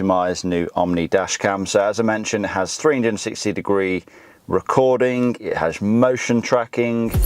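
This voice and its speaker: A man with a British accent, medium pitch, ordinary pitch variation, and a fairly quick pace. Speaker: car YouTuber. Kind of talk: product review.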